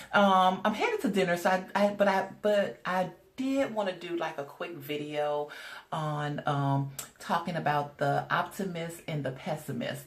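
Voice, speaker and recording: Noticeable background noise accompanies a woman speaking at a fairly slow pace, her fairly low pitch moving with ordinary variation. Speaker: spiritual life coach. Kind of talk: casual vlog talk. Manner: hesitant, many fillers.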